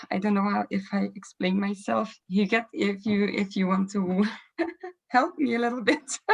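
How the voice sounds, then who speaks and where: The voice belongs to a woman and sits at a medium pitch. It sounds somewhat breathy. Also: ordinary pitch variation, moderate pace. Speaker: meeting participant, peer support advocate. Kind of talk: video call group meeting discussion. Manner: halting, searching for words.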